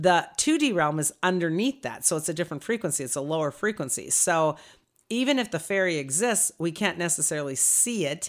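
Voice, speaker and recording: In a very clean recording with a silent background, a woman with a plain, everyday voice talks at a fairly quick pace, her fairly low pitch carried by lively intonation. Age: 60s. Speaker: energy healer and podcast host. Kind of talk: casual chat.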